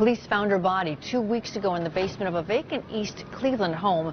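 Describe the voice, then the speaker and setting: A woman with an American accent uses a plain, everyday voice, medium pitch and ordinary pitch variation at a fairly quick pace. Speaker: TV news anchor and reporter. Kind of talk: hard news anchor read. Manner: serious, measured.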